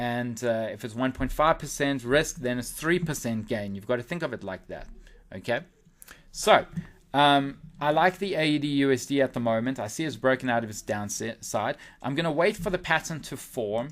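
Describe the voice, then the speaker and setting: The speaker has an unremarkable speaking voice at a moderate pace. The intonation is lively. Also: man, medium pitch for a man. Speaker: forex trader and newsletter analyst. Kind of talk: webinar market analysis.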